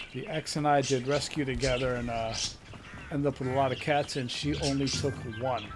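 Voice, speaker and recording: A man talks at a fairly quick pace with fairly even intonation while music plays in the background. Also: medium pitch for a man. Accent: American. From Connecticut, New Haven. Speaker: gaming streamer. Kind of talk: casual chat while gaming.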